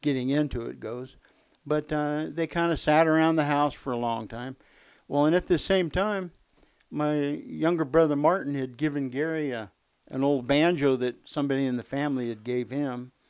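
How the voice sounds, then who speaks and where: A man talks at a moderate pace in a fairly high pitch with ordinary pitch variation, an unremarkable speaking voice. The background is quiet. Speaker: guest, uncle of host, bluegrass musician. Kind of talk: elder life story, reminiscing about early music lessons and bands. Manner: easygoing, conversational, interjecting often.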